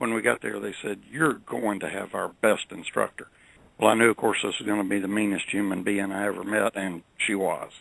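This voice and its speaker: A man with a Southern US accent and a bright, sharp, fairly low voice speaks at a moderate pace with ordinary pitch variation. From US South. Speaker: credit management professional. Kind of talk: interview storytelling. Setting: radio show.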